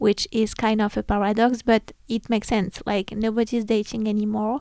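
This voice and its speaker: A woman with a non-native accent speaks at a fairly high pitch and moderate pace, her tone dark and mellow, her intonation monotone and flat, in a dry, close recording with no echo. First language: not English. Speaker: podcast host. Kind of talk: casual solo podcast talk. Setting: home recording, room lit by red lamp.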